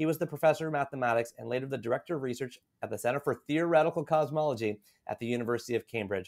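The background is quiet. A man talks at a very fast pace with ordinary pitch variation. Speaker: podcast host. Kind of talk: interview host reading book introduction. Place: home room. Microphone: studio mic.

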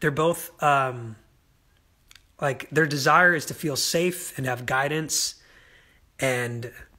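This man has a fairly high, breathy voice with a bright, sharp tone, speaking at a fairly slow pace against a quiet background. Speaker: singer doing social media Q&A; host of live Q&A. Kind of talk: casual livestream Q&A. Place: home room. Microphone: phone near.

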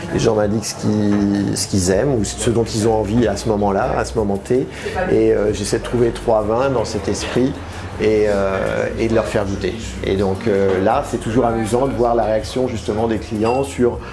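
Delivery comes at a moderate pace with fairly even intonation. Noticeable background noise is present. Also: man, fairly low pitch for a man. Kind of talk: interview answer. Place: bar.

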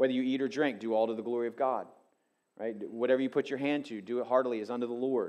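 Against a quiet background, a man speaks at a very fast pace with fairly even intonation. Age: 50s. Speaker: pastor. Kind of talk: sermon. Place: church. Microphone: headset.

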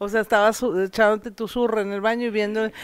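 Fairly quick speech over a quiet background, with a dry sound and no echo. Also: woman. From Coahuila, Mexico. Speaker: comedian. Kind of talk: casual interview. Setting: at her home. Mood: relaxed, chatty, joking. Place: home room. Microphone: handheld.

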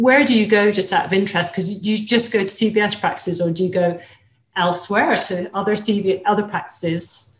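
In a room with audible echo, a woman of medium pitch talks at a fairly quick pace with fairly even intonation. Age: 50s. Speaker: equine vet; webinar host. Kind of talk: webinar hosting with Q&A. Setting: live webinar, video call. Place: home room. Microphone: webcam.

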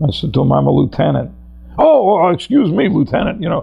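A man with an American accent talks while music plays behind him. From Connecticut, US. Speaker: war veteran. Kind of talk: oral history interview. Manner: hesitant, with many fillers.

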